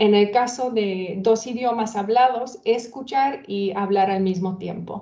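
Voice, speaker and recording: With a Hungarian accent, a woman speaks at a very slow pace with ordinary pitch variation. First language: Hungarian (speaking Spanish). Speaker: former interpreter, event co-presenter. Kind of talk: webinar introduction. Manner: halting, many fillers.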